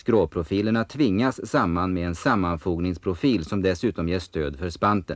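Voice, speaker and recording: Fairly slow and fairly low, a man talks in a plain, everyday voice with ordinary pitch variation. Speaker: documentary voice-over narrator. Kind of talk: documentary slideshow narration.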